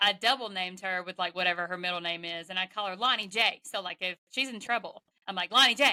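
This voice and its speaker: Her tone is bright and sharp, and she sits at a medium pitch for a woman. She talks at a very fast pace, with a dry, close sound and no echo. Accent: Southern. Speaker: podcast host. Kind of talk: interview. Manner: animated.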